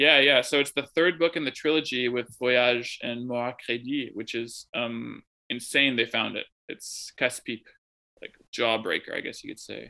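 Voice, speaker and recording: A man with a US Midwestern accent speaks at a moderate pace in a medium pitch with ordinary pitch variation, his bright, sharp tone rising and falling widely in loudness on a very clean recording with a silent background. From US Midwest (Chicago suburbs, Wisconsin). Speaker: literary translator and writer. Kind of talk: casual interview. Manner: halting, many fillers.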